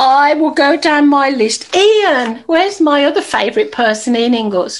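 A woman talks at a fairly slow pace in a high voice with lively intonation. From Ireland. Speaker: networking event host and motivational speaker. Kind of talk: casual event hosting. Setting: video call. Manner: animated, laughing often. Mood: warm, encouraging. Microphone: video call.

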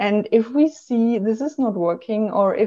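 A woman speaks with a German accent at a fairly high pitch, her tone dark and mellow against a quiet background. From Germany. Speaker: travel blogger and marketing professional; travel blogger. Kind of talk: interview conversation. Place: home room. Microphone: video call.

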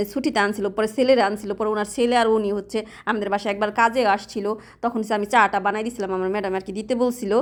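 This woman has a fairly high voice and a monotone, flat intonation. The recording is very clean, with a silent background. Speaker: vlogger and domestic worker. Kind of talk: casual vlog narration. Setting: outdoors walking to shop.

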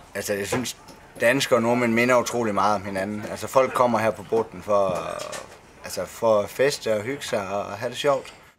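A man's intonation stays fairly even as he talks at a moderate pace amid light background noise. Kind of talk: interview answer. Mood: cheerful, laughing. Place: bar.

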